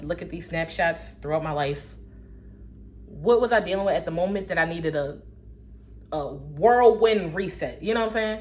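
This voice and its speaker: In a room with audible echo, a woman with a fairly low pitch and vocal fry talks in an animated tone at a moderate pace. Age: 20s. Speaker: vlogger. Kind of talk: casual monologue.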